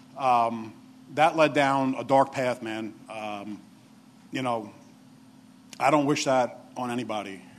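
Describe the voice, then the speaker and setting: In an American accent, a man at medium pitch speaks at a very slow pace with fairly even intonation and long, frequent pauses. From New York. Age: 40s. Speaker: assistant director of addiction recovery program. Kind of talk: testimony. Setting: stage with audience. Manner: halting.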